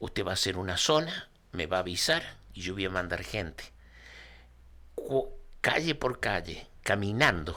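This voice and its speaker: A man's very deep, low pitch with a bright, sharp tone, very wide pitch swings, fairly slow pace and long, frequent pauses. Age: 60s. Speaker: retired volunteer fire chief. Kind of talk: interview storytelling.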